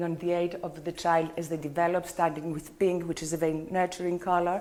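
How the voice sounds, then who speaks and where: Amid noticeable background noise, a woman with a fairly low pitch talks very fast. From Greece. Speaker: color therapist. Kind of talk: lecture. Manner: halting.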